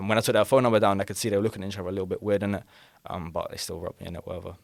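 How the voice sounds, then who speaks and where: A man with a London accent talks at a very fast pace and a fairly low pitch. His loudness swings widely. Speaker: podcast guest, robbery victim. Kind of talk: casual chat, storytelling. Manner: animated.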